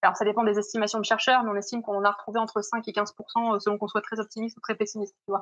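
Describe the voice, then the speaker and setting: A woman is speaking. Her pitch sits fairly high. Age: 20s. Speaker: literature PhD student. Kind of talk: interview.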